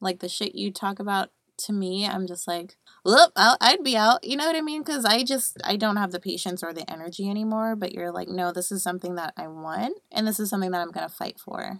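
A woman with an American accent speaks at a medium pitch and a fairly quick pace. Her intonation is lively, in an ordinary speaking voice. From Buffalo, New York. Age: 20s. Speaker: podcast co-host. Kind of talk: casual chat.

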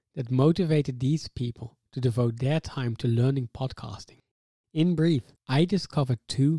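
A man's medium-pitched voice, dark and mellow and somewhat breathy, shows ordinary pitch variation in a dry, close sound with no echo. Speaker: podcast co-host and PhD student. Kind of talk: scripted narration. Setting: studio.

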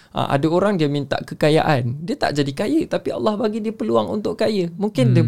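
Over noticeable background noise, a man speaks at a moderate pace in a high pitch that swings very widely. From Sabah, Malaysia. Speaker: motivational speaker and part-time imam. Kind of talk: casual religious talk. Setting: studio.

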